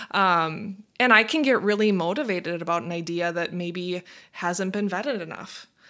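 A woman with an American accent speaks in a bright, sharp tone with ordinary pitch variation on a very clean recording with a silent background. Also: medium pitch for a woman, moderate pace. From Minnesota. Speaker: marketing executive. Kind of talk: interview.

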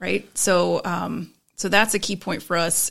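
A woman speaks with an American accent. Her voice has vocal fry. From Florida, Tampa. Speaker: arts and culture show creator. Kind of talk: casual interview.

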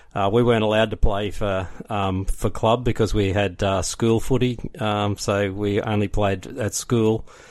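A man with an Australian accent speaks at a moderate pace in a fairly low pitch, his intonation fairly even. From Brisbane, Australia. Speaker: rugby league history podcaster. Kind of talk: casual interview.

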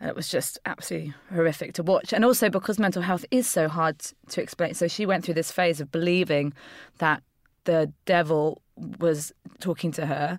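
Over a very clean, silent background, an ordinary speaking voice moves at a moderate pace with ordinary pitch variation. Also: woman, fairly low pitch for a woman. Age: 30s. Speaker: comedian and improviser. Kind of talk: casual chat.

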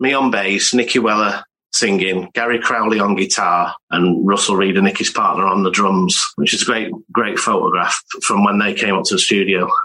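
This man has an unremarkable speaking voice, fairly low in pitch. His intonation is fairly even and his loudness very even. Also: moderate pace. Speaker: super fan and collector. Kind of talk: casual chat.

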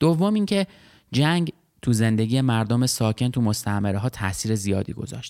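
The recording is very clean with a silent background and a dry, close sound with no echo. A man speaks at a moderate pace in a dark, mellow tone with lively intonation. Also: medium pitch for a man. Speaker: history podcast host and narrator. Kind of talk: scripted narration.

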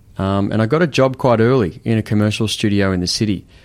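Very fast speech comes from a man with an Australian accent, pitched fairly low with ordinary variation. The recording is very clean, with a silent background. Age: 30s. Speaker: photographer and director. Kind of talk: casual chat.

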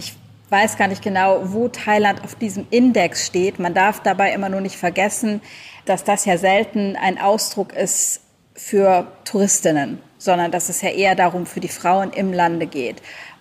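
A woman with an unremarkable speaking voice talks fairly slowly with fairly even intonation. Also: medium pitch for a woman. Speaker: travel blogger and author. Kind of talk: casual interview chat. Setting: video call.

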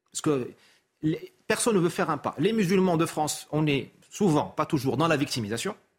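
A man speaks at a moderate pace in a plain, everyday voice, fairly high in pitch. His intonation is lively. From Morocco. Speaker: essayist and consultant. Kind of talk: TV talk show interview. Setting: TV studio.

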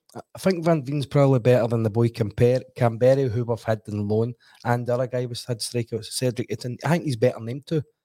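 A man with a Glasgow accent, very fast with hardly any pauses, medium in pitch with a dark, mellow tone and fairly even intonation, in a dry, close sound with no echo. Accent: Scottish (Glasgow). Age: 40s. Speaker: football pundit, former player. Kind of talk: casual football chat. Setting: studio.

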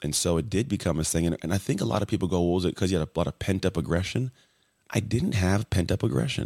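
Very deep, low male voice at a very fast pace with ordinary pitch variation, dry and close with no echo, on a very clean recording with a silent background. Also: very even loudness. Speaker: former athlete, podcast guest. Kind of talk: interview.

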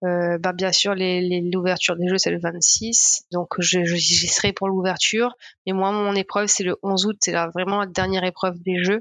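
A woman's medium-pitched voice, monotone and flat in intonation, with very even loudness. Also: moderate pace. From Mauritius. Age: 20s. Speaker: marathon runner. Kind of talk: interview. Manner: hesitant, many fillers.

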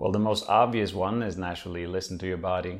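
A man with a Norwegian accent, fairly low in pitch, with monotone, flat intonation. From Norway. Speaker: former pro squash player, physiotherapist. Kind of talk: interview, casual conversation. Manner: hesitant, filler words.

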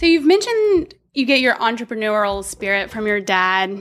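A woman with a plain, everyday voice talks at a moderate pace with ordinary pitch variation, recorded very cleanly against a silent background. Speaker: social designer. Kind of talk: casual chat.

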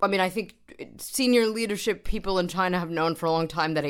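On a very clean recording with a silent background, a woman speaks with a New York accent. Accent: American, New York. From US, New York. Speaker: doctoral researcher, former journalist. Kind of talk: casual chat.

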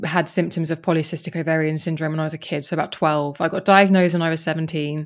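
A woman's fairly low voice at a very fast pace, with a southern English accent. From Kent, south-east England. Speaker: podcaster. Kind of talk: interview conversation.

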